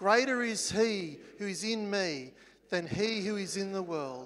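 A man with an Australian accent, very slow pace, high pitch and lively intonation. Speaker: church worship leader. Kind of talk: church announcements. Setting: church. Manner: halting. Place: hall.

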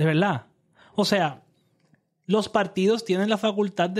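Moderate-paced speech from a man, very clean recording and silent background. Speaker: political podcast co-host. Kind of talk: casual political discussion.

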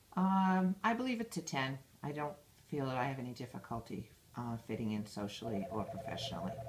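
Speaking at a fairly quick pace with an American accent, a woman uses a very deep, low pitch and very wide pitch swings against noticeable background noise. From Massachusetts, Brockton near Boston. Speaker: school director and teacher. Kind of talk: interview answers. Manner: hesitant with fillers.

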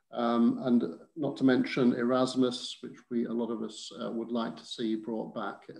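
A man's monotone, flat delivery at a moderate pace over a quiet background. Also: medium pitch for a man. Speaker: campaigner. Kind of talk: panel discussion. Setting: video call. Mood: earnest, measured. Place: home room. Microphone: video call.

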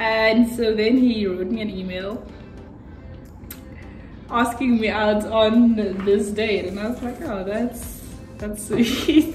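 A woman speaks with audible room echo. Music plays clearly in the background. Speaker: vlogger. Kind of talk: casual vlog chat. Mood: cheerful, laughing. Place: home room. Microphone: phone near.

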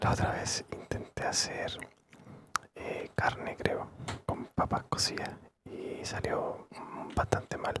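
A man whispers very slowly, with long, frequent pauses breaking up his speech. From Chile. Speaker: ASMR gaming creator. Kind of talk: ASMR gameplay commentary. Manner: whispered, soft-spoken. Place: home room.

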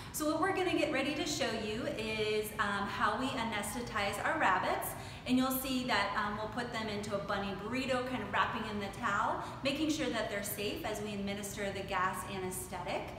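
Speech moves at a fairly quick pace with audible room echo. Noticeable background noise is present. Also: woman, ordinary pitch variation. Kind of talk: explanatory talk to camera. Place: workshop.

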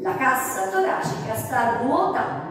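A woman speaks. Strong room echo surrounds her voice. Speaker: fitness instructor. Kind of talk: exercise class instruction. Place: studio.

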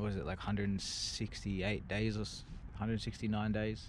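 This man's pitch is fairly low. Light background noise can be heard. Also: dry sound with no echo. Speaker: skateboarder vlogger. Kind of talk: casual vlog chat. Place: street. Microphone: phone near.

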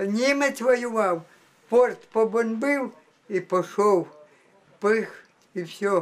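Her pitch fairly high, a woman speaks with ordinary pitch variation. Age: 90s. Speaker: war survivor. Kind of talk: interview testimony. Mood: indignant, emphatic. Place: home room.

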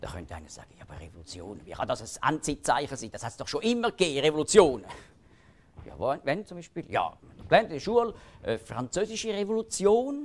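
The speech moves at a fairly quick pace, with big swings in loudness and very wide pitch swings. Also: man, high pitch for a man. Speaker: lecturer on Bible prophecy. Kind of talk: public lecture.

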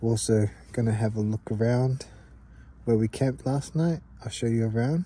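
A man speaks in a dark, mellow tone that is somewhat breathy, at a moderate pace with ordinary pitch variation. The sound is dry with no echo. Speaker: camping vlogger. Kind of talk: casual vlog chat. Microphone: phone near.

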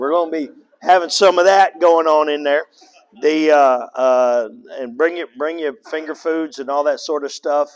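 The man's intonation is fairly even, and his pace is moderate. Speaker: pastor. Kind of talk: church announcements. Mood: relaxed, joking. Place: church.

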